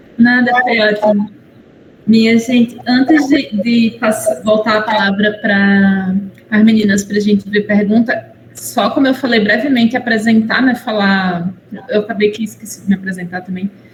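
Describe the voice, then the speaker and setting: Against noticeable background noise, a woman speaks at a moderate pace in a fairly high pitch with ordinary pitch variation. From Paraíba, northeastern Brazil. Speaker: university professor and moderator. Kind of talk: webinar moderation. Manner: halting.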